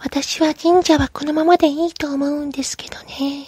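A put-on character voice, high in pitch, moves at a moderate pace with monotone, flat intonation.

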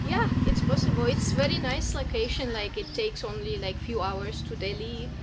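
Loud background noise sits behind a woman speaking at a moderate pace. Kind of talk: interview answer. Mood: friendly, smiling. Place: cafe.

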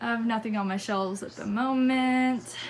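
A woman's fairly high voice at a moderate pace, fairly even in intonation, with audible room echo

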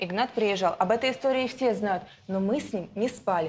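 A woman speaks with a fairly high pitch and lively intonation. Light background noise sits behind her voice. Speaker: defendant. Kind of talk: courtroom testimony. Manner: heated, confrontational. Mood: defensive, emotional. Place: studio. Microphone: lapel.

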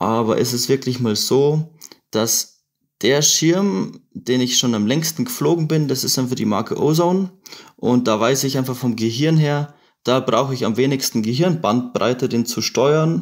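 A man's plain, everyday voice, fairly slow in pace, with ordinary pitch variation. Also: medium pitch for a man. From Bavaria, Chiemgau. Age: 20s. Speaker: paraglider pilot. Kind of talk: casual chat.

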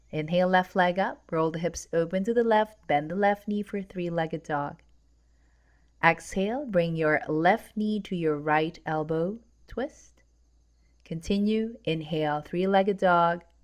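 With an ordinary speaking voice, a woman talks at a fairly slow pace and fairly low pitch with ordinary pitch variation. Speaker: yoga instructor. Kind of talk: guided yoga class. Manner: calm, soothing, measured; brisk, rhythmic cueing with breath.

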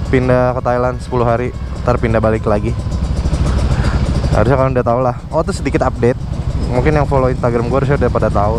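Very fast speech over loud background noise, dry with no echo. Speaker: motovlogger. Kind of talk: casual vlog chat. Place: motorbike. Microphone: helmet.

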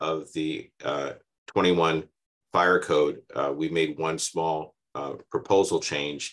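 A man speaks over a quiet background. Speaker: fire department public commenter. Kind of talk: public comment to council. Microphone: video call.

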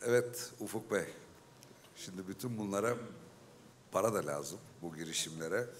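With long, frequent pauses, a man speaks at a moderate pace with fairly low pitch and ordinary pitch variation over light background noise. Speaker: panel moderator, company executive; panel moderator. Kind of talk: moderated panel discussion. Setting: stage with audience. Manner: halting, many filler sounds. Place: hall. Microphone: handheld.

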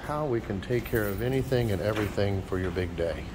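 Noticeable background noise sits behind a man talking at a fairly quick pace. His pitch swings very widely. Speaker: wedding venue promoter. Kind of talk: walking sales-pitch venue tour, showing rooms to camera. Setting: walking indoors and outdoors at event venue. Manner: upbeat, gushing pitchman piling on 'beautiful' and 'absolutely gorgeous'; showman-style addresses, repeatedly saying 'ladies and gentlemen'. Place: hall. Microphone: phone near.

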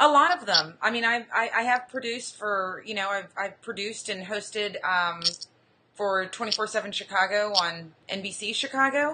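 A woman with an American accent and an unremarkable speaking voice, medium in pitch with ordinary variation, at a moderate pace over light background noise. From US South, Austin, Texas. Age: 30s. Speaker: blogger and travel show host. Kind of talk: casual interview. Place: home room. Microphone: video call.

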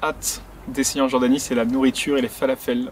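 Over light background noise, a man talks at a very fast pace, and the sound is dry with no echo. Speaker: travel vlogger. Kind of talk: casual vlog chat. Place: open country.

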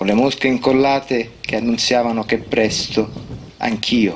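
A man's voice at a fairly slow pace with ordinary pitch variation over light background noise. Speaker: poet. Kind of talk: poetry reading. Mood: calm, measured, reflective. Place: open country.

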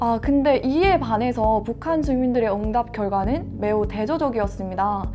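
A woman talks at a moderate pace with hardly any pauses and very even loudness. Clear music plays in the background. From North Korea (defected to South Korea). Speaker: university student studying North Korean studies, webinar speaker. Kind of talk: webinar presentation. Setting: online webinar. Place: studio. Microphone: lapel.

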